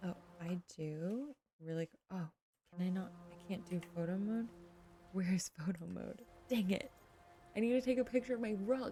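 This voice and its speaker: The speaker is soft-spoken and goes at a moderate pace, with long, frequent pauses. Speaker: gaming streamer. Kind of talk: casual let's play commentary. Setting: home livestream. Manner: quiet, soft-spoken.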